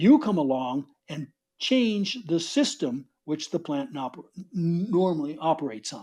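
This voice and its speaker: The speaker has a New York accent and talks at a fairly slow pace. The recording is very clean, with a silent background. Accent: New York American. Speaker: author and soil science speaker. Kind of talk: conference talk.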